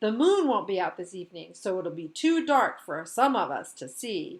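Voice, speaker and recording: Putting on a character voice, a woman speaks at a fairly high pitch and moderate pace, her pitch swinging very widely. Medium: read story.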